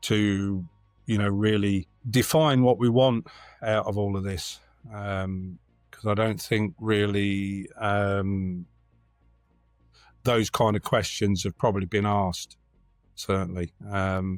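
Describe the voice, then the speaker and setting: Over music in the background, a man in a Lincolnshire accent talks at a very slow pace with long, frequent pauses, a fairly low pitch and fairly even intonation. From England, Lincolnshire. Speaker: community organisation member. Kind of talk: podcast interview. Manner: halting, many fillers.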